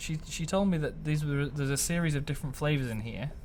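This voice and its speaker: The voice is somewhat breathy and moves at a fairly quick pace. Audible room echo surrounds it. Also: man. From Lancashire, northern England. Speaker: podcast co-host. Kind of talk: casual chat.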